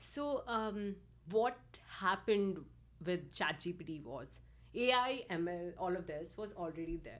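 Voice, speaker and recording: Her loudness swings widely as a woman with a fairly low pitch speaks with vocal fry. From India. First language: not English. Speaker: machine learning engineer. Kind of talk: podcast interview. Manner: hesitant, many fillers.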